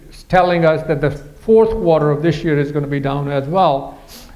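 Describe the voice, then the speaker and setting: A man at a fairly quick pace with fairly even intonation, plus audible room echo. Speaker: economist presenting a forecast. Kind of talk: presentation to an audience. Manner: fast; halting, many fillers.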